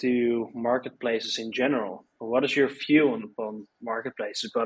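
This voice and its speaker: This man has an ordinary speaking voice at medium pitch. His pitch varies in an ordinary way. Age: 20s. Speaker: podcast host. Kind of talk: interview; scripted intro.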